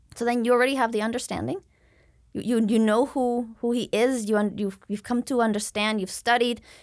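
A woman with a Spanish accent speaks fairly quickly with fairly even intonation on a very clean recording with a silent background. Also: fairly high pitch for a woman. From Mexico City, Mexico. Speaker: missionary. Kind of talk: interview, faith testimony.

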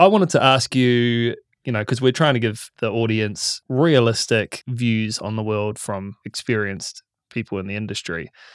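A man with a New Zealand accent speaks at a moderate pace and medium pitch, with ordinary pitch variation. The sound is dry and close with no echo, a very clean recording on a silent background. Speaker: podcast host. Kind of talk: casual interview chat. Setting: studio.

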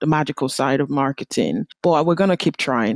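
A woman talks at a moderate pace with ordinary pitch variation. The sound is dry and close, with no echo. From Nigeria. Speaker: marketing consultant and small business owner. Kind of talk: interview.

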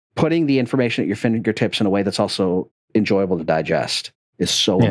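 A normal speaking voice from a man, pitched fairly low and moving at a moderate pace. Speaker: podcast co-host. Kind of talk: casual interview.

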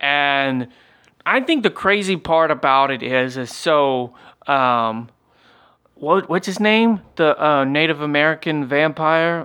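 Very slow speech with a Southern US accent and a bright, sharp tone. Pitch varies in an ordinary way over a quiet background. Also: man, fairly high pitch for a man. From US South. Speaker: podcast co-host. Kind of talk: casual chat.

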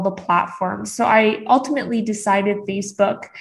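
Fairly even intonation from a woman whose voice is somewhat breathy. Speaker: business coach. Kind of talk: interview.

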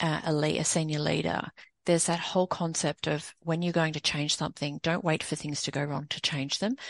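Over a quiet background, a woman talks at a fairly quick pace. Her pitch is very deep and low, with ordinary variation. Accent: Australian. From Sydney, Australia. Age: 40s. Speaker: women's empowerment coach and consultant. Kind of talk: casual interview.

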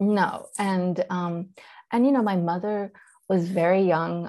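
In a Persian accent, a woman speaks at a fairly slow pace and a medium pitch. Her tone is dark and mellow over a quiet background. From Iran, then US South (Charlotte, North Carolina). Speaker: actor, director, writer, podcast creator. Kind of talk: interview storytelling. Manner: conversational, narrative.

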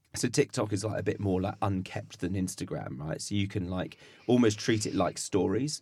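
Speaking at a moderate pace, a man uses a fairly low pitch with vocal fry and ordinary pitch variation. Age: 30s. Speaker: chef and food waste content creator. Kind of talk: casual chat. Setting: studio.

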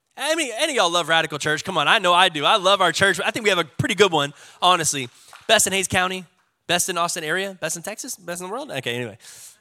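The man's voice is high-pitched, with a bright, sharp tone. He sounds animated and talks at a very fast pace. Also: lively intonation. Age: 30s. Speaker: pastor. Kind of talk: sermon. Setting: church.

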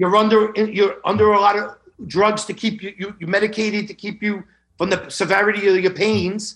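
In an American accent, a man talks at a moderate pace in a high, monotone voice with flat intonation. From New York. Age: 50s. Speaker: long COVID patient. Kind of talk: testimony.

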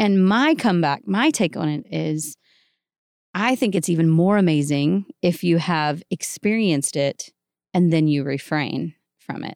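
In a very clean recording with a silent background and a dry, close sound with no echo, a woman with a plain, everyday voice speaks at a fairly low pitch and a fairly slow pace. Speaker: podcast guest, wife of the other guest. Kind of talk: casual chat.

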